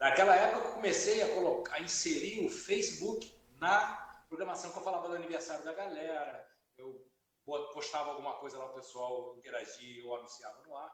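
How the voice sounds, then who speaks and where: The voice moves at a fairly quick pace, with big swings in loudness. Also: man. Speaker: radio presenter. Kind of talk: interview answer.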